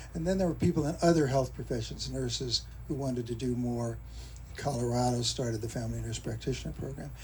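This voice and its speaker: A man talks at a very fast pace, and the room echo is audible. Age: 80s+. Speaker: physician. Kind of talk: memorial speech.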